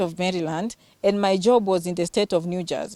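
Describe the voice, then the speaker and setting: A woman with a Kenyan accent at medium pitch, dark and mellow in tone, at a fairly quick pace, with a dry, close sound and no echo. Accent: authentic Kenyan. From Western Kenya. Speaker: healthcare worker and vlogger. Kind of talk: interview.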